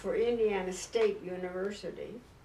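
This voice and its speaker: A woman with an American accent at a fairly slow pace, amid audible room echo and noticeable background noise. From San Diego, California. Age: 90s. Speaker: clergy widow and church elder. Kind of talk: oral history interview. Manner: hesitant, with fillers.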